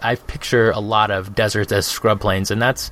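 Over noticeable background noise, a man with a medium pitch speaks at a moderate pace with an American accent. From Arizona, US (Phoenix). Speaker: tabletop gaming podcast co-host. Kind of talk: casual chat.

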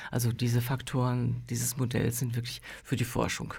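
A woman speaks with a very deep, low pitch and a dark, mellow tone, marked by vocal fry. Her intonation is monotone and flat. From Germany, near Dortmund (North Rhine-Westphalia). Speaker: pianist, painter and psychologist. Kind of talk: casual chat.

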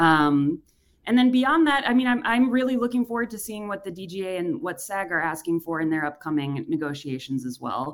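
This woman, speaking with an American accent at a moderate pace, has a medium pitch and very wide pitch swings. The recording is very clean, with a silent background. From Wisconsin, Racine. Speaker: comedy writer. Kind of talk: radio interview.

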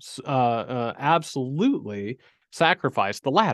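A man with a fairly high pitch and a plain, everyday voice, at a fairly slow pace, in a dry, close sound with no echo and a quiet background. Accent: American. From rural US. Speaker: writer and academic. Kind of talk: interview.

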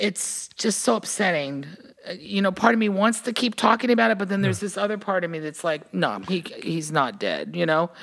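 Using an ordinary speaking voice, a woman with an American accent talks at a fairly quick pace and medium pitch with lively intonation. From Virginia, US South. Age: 60s. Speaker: musician. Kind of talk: casual interview chat.

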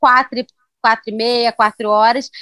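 A woman speaks in a high voice. She has a Carioca accent. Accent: carioca Brazilian Portuguese. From Rio de Janeiro, Brazil. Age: 30s. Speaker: travel blogger. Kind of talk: podcast interview.

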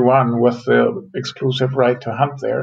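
A man talks at a fairly slow pace with a German accent. His pitch variation is ordinary. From Germany. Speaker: forest economist. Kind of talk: interview.

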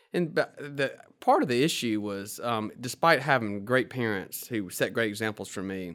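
With a Southern US accent, a man speaks at a fairly quick pace and a medium pitch in a very clean recording against a silent background. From Mississippi Delta, US South. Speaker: lawyer and small group leader. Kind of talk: interview, telling personal story.

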